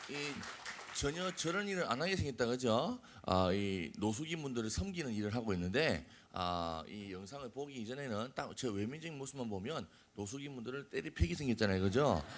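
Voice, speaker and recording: A man of medium pitch at a moderate pace, his pitch swinging very widely. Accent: Busan. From Korea, Busan. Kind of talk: lecture to youth. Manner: casual, joking.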